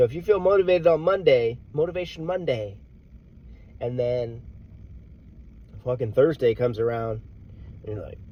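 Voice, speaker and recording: A man with an American accent speaks at a fairly slow pace in a dark, mellow, somewhat breathy tone with lively intonation. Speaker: motivational vlogger, military veteran. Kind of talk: casual motivational monologue.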